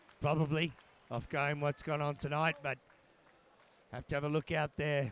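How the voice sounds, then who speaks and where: In a dry, close recording with no echo, a man speaks at a moderate pace in a fairly high, monotone, flat voice. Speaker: fight commentator. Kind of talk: live commentary. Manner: quiet.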